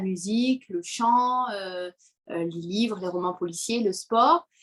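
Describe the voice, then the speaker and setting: The woman talks very slowly. Her fairly high pitch varies in an ordinary way. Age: 20s. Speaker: parenting coach. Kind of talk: interview.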